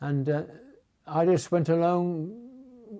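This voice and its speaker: In a Geordie accent, a man with a high pitch and a dark, mellow tone speaks with lively intonation. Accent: Geordie (Newcastle English). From Newcastle, England. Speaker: war memories witness. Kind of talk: personal reminiscence interview.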